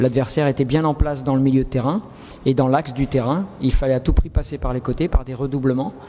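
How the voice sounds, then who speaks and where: This man's intonation is fairly even and his pitch medium. He talks at a very fast pace. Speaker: football coach. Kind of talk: press conference. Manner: halting, many fillers and repetitions.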